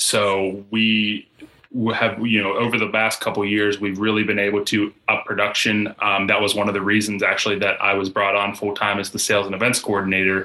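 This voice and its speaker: With an American accent, a man speaks at a fairly quick pace in a fairly low, flat monotone, with noticeable background noise. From Pittsburgh, Pennsylvania. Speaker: brewery sales and events coordinator. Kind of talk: casual chat.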